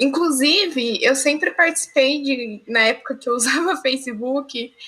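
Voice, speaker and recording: A woman's raised, projected voice, high-pitched with a bright, sharp tone, at a very slow pace. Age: young. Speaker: student and streamer, podcast co-host. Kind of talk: casual chat.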